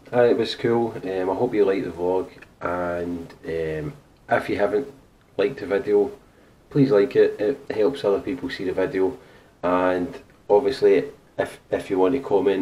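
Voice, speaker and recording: With lively intonation and long, frequent pauses, a man speaks in a fairly low voice with a dark, mellow tone. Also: moderate pace. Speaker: vlogger. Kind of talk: casual vlog chat. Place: home room. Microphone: camera far.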